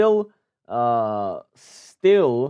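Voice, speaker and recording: In a Czech accent, a man speaks with a dark, mellow tone in a dry, close recording with no echo. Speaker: sports news youtuber. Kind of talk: casual news commentary. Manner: halting, many fillers.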